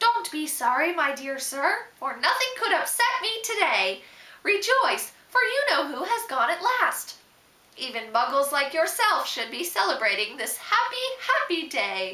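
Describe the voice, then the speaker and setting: A put-on character voice, squeaky, with very wide pitch swings. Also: woman, extremely high pitch for a woman, moderate pace. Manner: joyful, exuberant.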